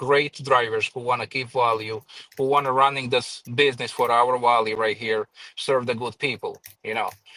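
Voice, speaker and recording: With a Croatian accent, a man talks at a fairly quick pace in a bright, sharp tone. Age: 40s. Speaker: professional private driver. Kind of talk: casual interview. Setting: live stream.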